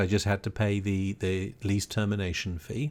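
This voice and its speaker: A man with a British accent, fairly low pitch and a moderate pace, on a very clean recording with a silent background. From Britain. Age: 60s. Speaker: podcast host, retired broadcast engineer. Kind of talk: casual podcast monologue.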